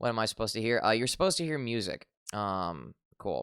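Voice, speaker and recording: Lively intonation and vocal fry come through on a very clean recording with a silent background and a dry, close sound with no echo. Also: man. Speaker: VTuber streamer. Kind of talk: casual live stream chat. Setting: live stream. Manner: hesitant, many fillers.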